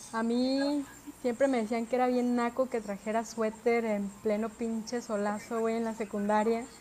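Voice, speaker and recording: Speaking at a moderate pace, a woman with a fairly high pitch keeps a monotone, flat intonation. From Mexico, Puerto Vallarta (Pacific coast). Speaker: podcast co-host. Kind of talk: casual chat.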